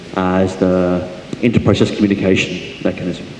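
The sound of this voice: Amid audible room echo, a man speaks at a moderate pace with a low pitch, a dark, mellow tone and vocal fry.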